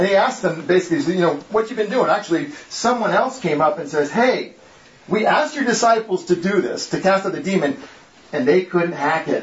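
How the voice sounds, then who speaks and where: Over noticeable background noise, a man with an American accent talks at a fairly quick pace, high in pitch and lively in intonation. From Connecticut, New England. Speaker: guest speaker, former geologist. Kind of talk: talk with Bible study.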